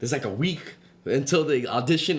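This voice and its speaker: Someone with a New York accent talks very fast amid noticeable background noise and audible room echo. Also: man. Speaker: podcast co-host. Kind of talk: casual chat.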